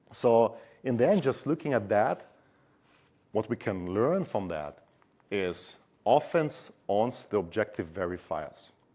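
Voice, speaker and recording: Over a very clean recording with a silent background, a man speaks at a fairly low pitch in a dark, mellow tone, with lively intonation and long, frequent pauses. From Germany. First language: German. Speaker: cybersecurity expert. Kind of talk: conference talk.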